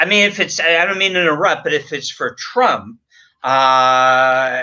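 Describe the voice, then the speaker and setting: This man's high-pitched voice makes very wide pitch swings. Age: 60s. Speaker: publicist. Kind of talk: interview. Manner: halting.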